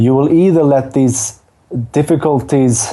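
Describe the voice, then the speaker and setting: A man talks with ordinary pitch variation. Background noise is noticeable throughout. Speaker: dance teacher. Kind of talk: podcast interview. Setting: at home, remote call.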